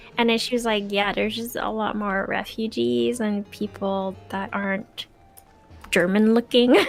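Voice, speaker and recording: A woman at medium pitch, moderate pace and ordinary pitch variation, with music in the background. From Quebec. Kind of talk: casual chat.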